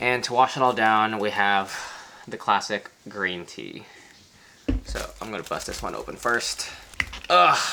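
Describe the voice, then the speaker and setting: With an American accent, the speaker talks at a fairly slow pace with long, frequent pauses and big swings in loudness, over noticeable background noise. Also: man. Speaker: travel vlogger. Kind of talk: casual food tasting vlog.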